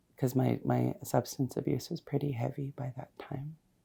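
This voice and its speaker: A woman with a Canadian accent at a fairly slow pace. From Canada, Saskatoon and Ottawa. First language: Cree. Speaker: community advocate and counsellor. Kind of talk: personal testimony interview. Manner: halting, with frequent repetitions.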